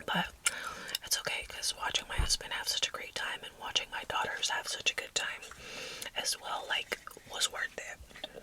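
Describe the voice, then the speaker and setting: A woman whispering at a moderate pace with an American accent, long, frequent pauses, and noticeable background noise. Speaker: mother of four. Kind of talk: ASMR whispered ramble. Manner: whispered, soft.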